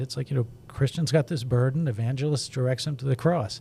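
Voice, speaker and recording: A somewhat breathy voice with a dark, mellow tone moves along at a fairly quick pace. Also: man. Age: 60s. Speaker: children's book illustrator. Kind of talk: podcast interview.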